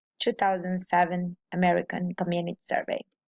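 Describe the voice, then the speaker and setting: Recorded with a dry, close sound with no echo and a quiet background, a woman speaks with a Portuguese accent. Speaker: student presenter. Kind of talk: classroom presentation. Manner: halting.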